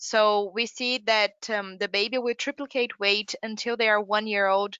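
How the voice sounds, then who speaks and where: A woman with a Brazilian Portuguese accent speaks at a fairly high pitch in a monotone, flat intonation. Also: moderate pace. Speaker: category manager. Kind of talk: business presentation.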